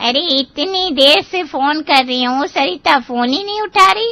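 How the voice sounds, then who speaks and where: Using a cartoonish character voice, a woman speaks high in pitch with very wide pitch swings. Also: moderate pace. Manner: loud, bossy.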